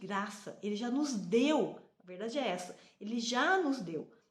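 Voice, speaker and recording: High-pitched female speech, with a noticeable echo from the room. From Brazil. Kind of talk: devotional talk to camera. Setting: on a train.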